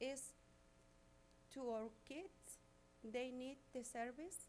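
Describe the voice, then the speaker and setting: A woman speaks in a Spanish accent. Her pace is very slow. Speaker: resident speaking at public comment. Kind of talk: public comment. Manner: halting.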